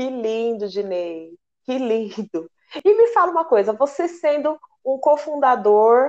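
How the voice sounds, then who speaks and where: Lively in intonation, a woman with a high pitch talks at a very slow pace. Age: 30s. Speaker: radio host and samba flag-bearer dancer. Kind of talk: radio interview.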